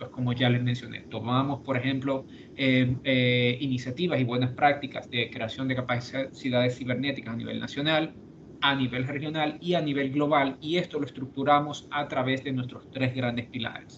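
A man's intonation is monotone and flat at a moderate pace, with light background noise behind him. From Dominican Republic. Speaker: cybersecurity policy expert, lawyer; lawyer. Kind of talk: virtual presentation. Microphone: video call.

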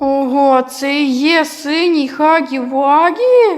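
A put-on character voice, high in pitch, talks at a very slow pace over light background noise. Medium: fan dub.

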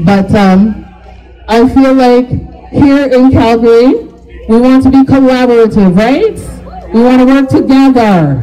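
A woman speaks at a fairly slow pace. Her voice is high, with ordinary pitch variation. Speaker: comedian. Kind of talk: stand-up. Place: stage.

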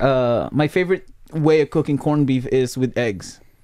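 At a fairly slow pace, a man speaks in an animated tone with ordinary pitch variation. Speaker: podcast host. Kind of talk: casual chat. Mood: relaxed, friendly. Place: home room. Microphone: video call.

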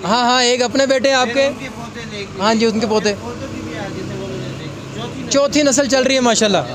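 A man with an extremely high pitch talks with fairly even intonation in a dry sound with no echo, against noticeable background noise. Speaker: YouTube interviewer. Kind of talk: street interview questions. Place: shop. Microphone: handheld.

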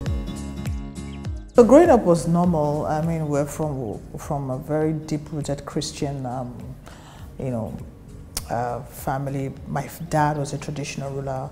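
A woman speaks at a fairly slow pace with a Nigerian accent. Her loudness swings widely over clear music in the background. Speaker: actress. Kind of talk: interview answer. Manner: soft-spoken. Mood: reflective, candid, animated gestures. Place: office.

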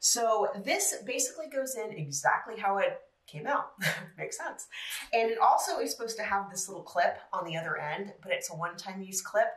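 A woman at a fairly quick pace, with audible room echo. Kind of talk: tutorial. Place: home room.

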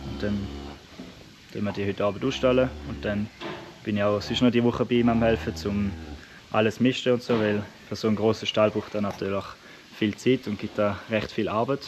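A man speaks fairly quickly at a fairly low pitch, his intonation fairly even. Noticeable background noise runs underneath. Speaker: farmer vlogger. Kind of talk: casual vlog chat. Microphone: phone near.

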